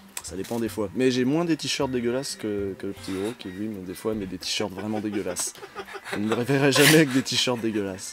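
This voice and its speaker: A man speaks at a fairly quick pace in a fairly low pitch. Music plays in the background. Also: ordinary pitch variation. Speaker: video game web show host. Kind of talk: interview. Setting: video call. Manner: halting.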